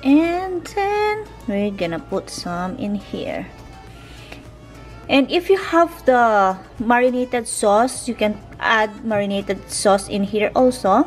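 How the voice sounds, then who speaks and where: Faint music plays in the background as a woman talks at a very slow pace. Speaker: home cooking vlogger. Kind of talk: casual vlog chat. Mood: cheerful, enjoying food. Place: kitchen. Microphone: phone near.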